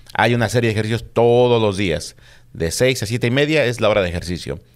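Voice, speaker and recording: Over a quiet background, a man with a Mexico City accent speaks at a fairly low pitch with ordinary pitch variation. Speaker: police officer; guest. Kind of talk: casual interview. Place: studio. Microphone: studio mic.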